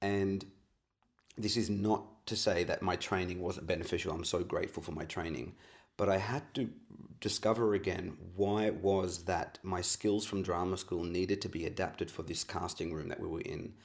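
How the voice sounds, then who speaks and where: In an Australian accent, a man with a very deep, low voice talks at a moderate pace with fairly even intonation. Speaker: actor and acting coach. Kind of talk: interview.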